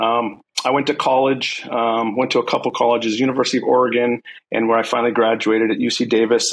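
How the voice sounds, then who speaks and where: A man talks at a fairly quick pace with a General American accent. He has an ordinary speaking voice at a medium pitch. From US, San Francisco Bay Area. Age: 40s. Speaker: police sergeant. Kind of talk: casual interview.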